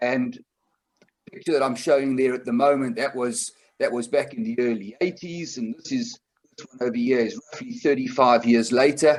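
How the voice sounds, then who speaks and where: A man with a South African accent, medium in pitch, at a moderate pace with ordinary pitch variation and big swings in loudness. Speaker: conservation group chair, seminar presenter. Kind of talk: online seminar presentation. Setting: online video seminar.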